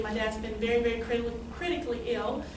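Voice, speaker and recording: A woman talks in a fairly high voice with an American accent. There is audible room echo and noticeable background noise. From eastern North Carolina, Greenville. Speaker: new club member. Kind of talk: self-introduction talk. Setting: club meeting, no microphone. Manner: hesitant, many ums.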